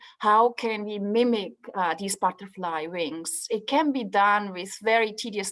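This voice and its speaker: A woman with a Swiss accent, at a moderate pace. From Switzerland, Swiss mountains. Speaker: professor, materials scientist. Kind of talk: presentation in online info session.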